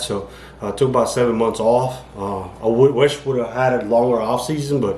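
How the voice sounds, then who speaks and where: A man mumbles in a monotone with flat intonation. Audible echo from the room surrounds his voice. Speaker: amateur bodybuilder vlogger. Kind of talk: casual vlog monologue. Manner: mumbling, rambling with fillers.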